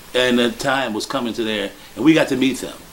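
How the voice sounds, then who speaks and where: Against noticeable background noise, a man with an American accent speaks at a moderate pace. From Chicago, South Side / Hyde Park. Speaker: blues musician. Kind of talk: interview monologue.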